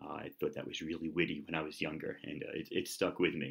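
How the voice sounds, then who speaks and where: Over a quiet background, a man with a New York accent talks at a fairly quick pace. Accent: American, New York. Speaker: YouTuber. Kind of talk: casual vlog. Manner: loud; fast talker. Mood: relaxed, friendly. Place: kitchen. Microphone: webcam.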